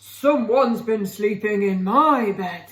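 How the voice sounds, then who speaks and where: Put on as a character voice, this growling delivery sits at a fairly high pitch and moves at a fairly slow pace. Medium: read story.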